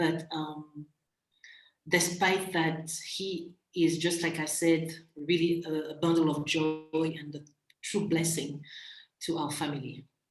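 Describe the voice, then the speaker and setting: With a slight French accent, a woman speaks at a very slow pace in monotone, flat intonation. Long, frequent pauses and audible room echo fill the recording. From Central African Republic. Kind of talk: interview conversation. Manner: hesitant, many fillers.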